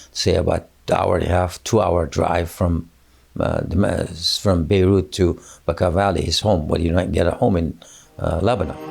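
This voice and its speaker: Against noticeable background noise, a man with a very deep, low voice speaks at a moderate pace with fairly even intonation and very even loudness. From Afghanistan. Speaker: national sales director and mindset coach. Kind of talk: interview answer.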